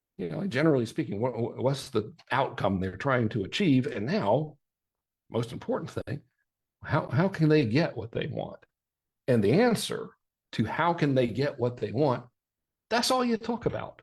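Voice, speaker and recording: Broken by long, frequent pauses, the somewhat breathy voice swings very widely in pitch. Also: man, fairly high pitch for a man. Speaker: marketing workshop presenter. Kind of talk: live workshop presentation. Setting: livestream in private online group. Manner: fast; animated.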